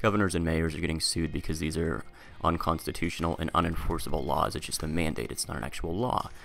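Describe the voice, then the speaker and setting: Rushing at a very fast pace, a man speaks with a very deep, low pitch, vocal fry and ordinary pitch variation. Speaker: commentary vlogger. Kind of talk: casual commentary monologue. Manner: filler-heavy, frequent ums.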